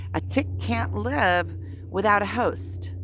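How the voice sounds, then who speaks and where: A woman's voice carries audible room echo. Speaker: spiritual vlogger. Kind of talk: casual vlog monologue. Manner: halting, many fillers.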